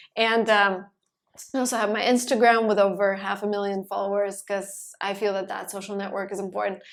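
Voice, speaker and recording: In a Russian accent, a woman speaks at a fairly quick pace with monotone, flat intonation and medium pitch. The recording is very clean, with a silent background. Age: 20s. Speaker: entrepreneur and YouTuber. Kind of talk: podcast interview.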